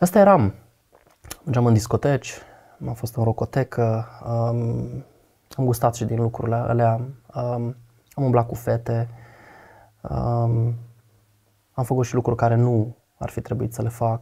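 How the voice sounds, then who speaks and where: A man's dark, mellow, somewhat breathy voice, fairly slow and fairly even, with long, frequent pauses over a quiet background. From Romania, Botoșani; Romania. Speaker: guest sharing faith testimony; guest. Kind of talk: testimony in casual conversation. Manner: talkative. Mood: reflective, confessional. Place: studio. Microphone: lapel.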